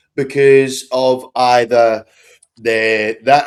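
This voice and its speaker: A man speaks in an Australian accent at a medium pitch. His pitch shows ordinary variation. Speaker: real estate sales coach. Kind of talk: coaching talk.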